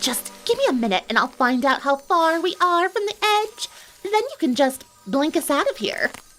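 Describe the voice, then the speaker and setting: Using a put-on character voice that sounds female, the speaker talks at a moderate pace with extremely high pitch and very wide pitch swings. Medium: read story.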